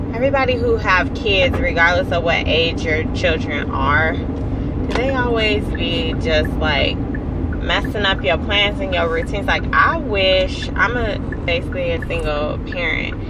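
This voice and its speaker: Over loud background noise, a woman talks at a fairly slow pace, the sound itself dry with no echo. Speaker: vlogger. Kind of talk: casual vlog chat. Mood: mildly annoyed, venting. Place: car. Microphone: phone near.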